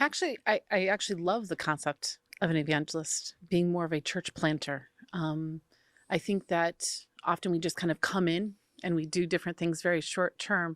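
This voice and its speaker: With an American accent and a normal speaking voice, the speaker keeps a moderate pace and fairly even intonation, the sound dry and close with no echo on a very clean recording with a silent background. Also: woman, fairly low pitch for a woman. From United States. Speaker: interviewer. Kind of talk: interview.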